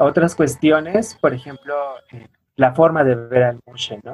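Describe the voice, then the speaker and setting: A man's somewhat breathy voice, fairly high in pitch, with ordinary pitch variation and a moderate pace. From Oaxaca coast, Mexico (Pinotepa Nacional). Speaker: anthropologist and weaver. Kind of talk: interview. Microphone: poor audio from technical problems.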